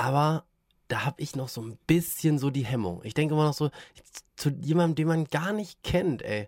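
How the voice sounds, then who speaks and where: At a moderate pace, a man with fairly high pitch uses a normal speaking voice with ordinary pitch variation, in a very clean recording over a silent background. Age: 30s. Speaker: podcast host, father of a toddler. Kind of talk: casual chat.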